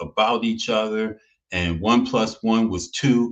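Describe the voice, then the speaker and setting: With an American accent, a man speaks at a medium pitch with ordinary pitch variation. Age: 60s. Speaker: TV show host. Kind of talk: commentary monologue. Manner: emphatic.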